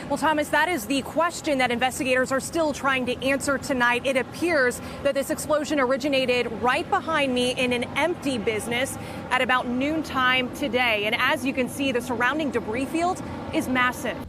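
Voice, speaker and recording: Through noticeable background noise, a woman speaks fairly quickly in a high pitch, with fairly even intonation and very even loudness. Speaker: television investigative reporter. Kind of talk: TV news reporter, live field report and packaged story. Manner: urgent, live-shot delivery.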